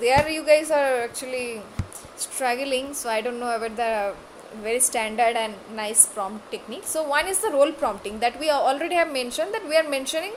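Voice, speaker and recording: Amid audible room echo, a woman with a high voice and lively intonation speaks at a fairly quick pace. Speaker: online class instructor. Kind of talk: lecture. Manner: halting, many fillers.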